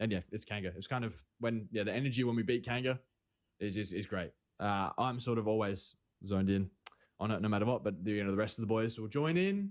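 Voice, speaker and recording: With an Australian accent, a speaker races along at a very fast pace with ordinary pitch variation over a quiet background. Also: man, fairly low pitch for a man. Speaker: esports player. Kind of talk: interview. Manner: halting.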